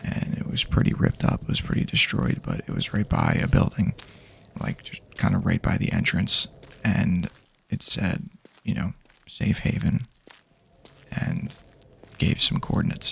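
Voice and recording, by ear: A man does a put-on character voice with an extremely low pitch, vocal fry and a husky, rough edge, swinging very widely in pitch at a fairly slow pace with long, frequent pauses.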